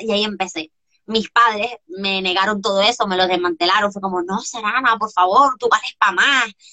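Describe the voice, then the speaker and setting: At a moderate pace, a woman talks in a fairly high pitch with ordinary variation. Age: 20s. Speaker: coach. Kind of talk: interview. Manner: animated.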